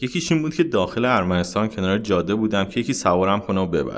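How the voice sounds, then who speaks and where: A man's fairly low voice swings very widely in pitch as he speaks. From Iran. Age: 30s. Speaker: traveler and former mechanical engineer. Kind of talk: interview.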